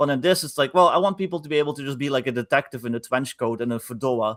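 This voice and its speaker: Heard in a very clean recording, silent background, a man with a Dutch accent talks at medium pitch. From Netherlands. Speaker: game designer. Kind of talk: casual chat. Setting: live stream.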